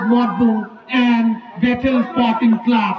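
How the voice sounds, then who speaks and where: A man at a very slow pace, with crowd noise in the background. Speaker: football commentator. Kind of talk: live football commentary. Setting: football ground, local tournament. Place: stadium.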